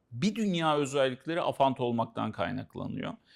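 A man speaks at a moderate pace with a fairly high pitch. He has a plain, everyday voice. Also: very clean recording, silent background. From Central Anatolia, Turkey. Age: 50s. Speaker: author and consultant on aphantasia. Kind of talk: casual educational conversation.

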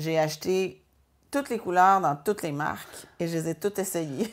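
A woman's speech keeps a moderate pace and shows ordinary pitch variation. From Quebec, Joliette region; Quebec. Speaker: painter. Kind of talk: interview. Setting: art studio. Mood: warm, reflective. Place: workshop.

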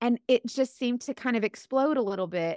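A woman with a Southern US accent speaks in an animated tone with ordinary pitch variation. The background is quiet and the sound is dry, with no echo. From US South. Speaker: influencer and direct sales seller; influencer, direct sales seller. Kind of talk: podcast interview, storytelling. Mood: animated, amused storytelling. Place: home room. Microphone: studio mic.

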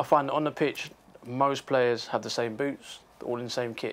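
A man at a moderate pace, his intonation monotone and flat. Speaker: guest. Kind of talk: interview answer. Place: studio. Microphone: lapel.

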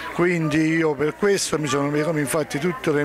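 Crowd noise fills the background as a man speaks at a fairly slow pace. The sound is dry, with no echo. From Naples, Scampia. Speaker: poet. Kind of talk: casual interview, poem reading. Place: garden. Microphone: handheld.

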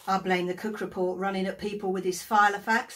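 This woman's voice is somewhat breathy. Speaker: actor playing an agony aunt. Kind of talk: theatrical monologue. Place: home room. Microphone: phone near.

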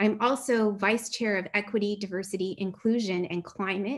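Speaking at a moderate pace, a woman has a medium pitch and fairly even intonation. She takes hardly any pauses. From Canada, Ottawa Valley; Canada. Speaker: chemistry professor. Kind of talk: online talk. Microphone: webcam.

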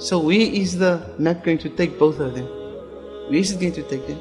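A man talks at a moderate pace as music plays in the background. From Cape Town, South Africa. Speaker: Islamic scholar and imam. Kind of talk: religious talk.

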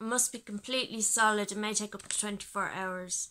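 At a moderate pace, a woman is talking. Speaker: home vlogger. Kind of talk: casual unboxing tutorial chat. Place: home room.

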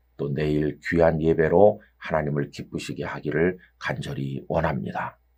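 A man speaks at a moderate pace. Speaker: pastor. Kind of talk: sermon.

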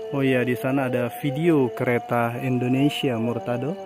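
Over clear music in the background, a man speaks at a very slow pace with fairly even intonation, the sound dry with no echo. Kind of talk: casual vlog commentary. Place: station.

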